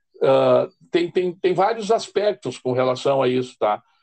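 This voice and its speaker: In a dry, close sound with no echo, a man with a normal speaking voice talks at a fairly slow pace with lively intonation. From southern Brazil, Rio Grande do Sul. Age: 50s. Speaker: addiction counselor and social worker. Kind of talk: interview.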